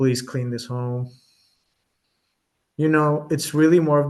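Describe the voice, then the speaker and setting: A man talks in a Colombian accent at a fairly high pitch. His intonation is monotone and flat, and his pace is moderate. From Colombia, Bogotá. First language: Spanish. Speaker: medium. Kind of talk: interview.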